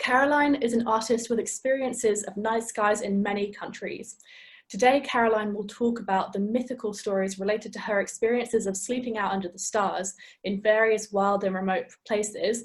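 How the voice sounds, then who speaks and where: Speaking with an English accent, a woman talks at a fairly quick pace in a somewhat breathy voice with fairly even intonation. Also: fairly high pitch for a woman. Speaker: webinar host and curator. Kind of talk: event introduction.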